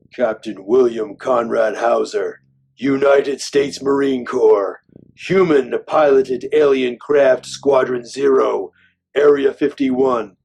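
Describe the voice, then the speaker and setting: The man's pace is fairly slow. He uses a put-on character voice pitched in the medium range. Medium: short film. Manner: cold, clipped, emotionless.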